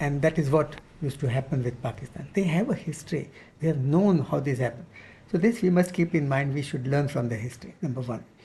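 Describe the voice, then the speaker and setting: A man's dark, mellow, somewhat breathy voice, fairly high in pitch, with ordinary pitch variation and a very fast pace. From India, Pune (Maharashtra). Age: 70s. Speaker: retired army officer. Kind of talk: interview.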